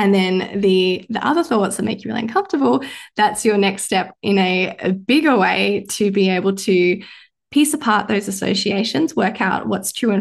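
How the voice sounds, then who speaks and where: In an Australian accent, a woman speaks at a moderate pace and medium pitch against a quiet background. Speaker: mindset coach and medical doctor. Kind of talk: casual podcast chat with coaching advice.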